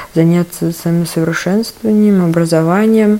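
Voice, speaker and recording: Against noticeable background noise, a woman speaks at a moderate pace in a fairly low pitch with monotone, flat intonation. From Tula. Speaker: cultural centre event curator. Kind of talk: recorded voice message story.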